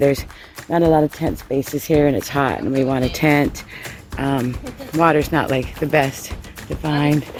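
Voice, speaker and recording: Moderate pace with music in the background. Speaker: hiking vlogger. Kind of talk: casual vlog narration. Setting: outdoors on trail.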